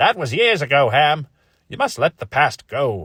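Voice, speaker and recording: A man's put-on character voice, fairly high with very wide pitch swings, at a moderate pace, in a dry, close sound with no echo. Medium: read story.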